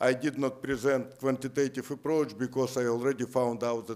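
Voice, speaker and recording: A man with a Russian accent and fairly even intonation, on a very clean recording with a silent background. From Siberia, Russia. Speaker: economist. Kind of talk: lecture. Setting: lecture theatre with audience.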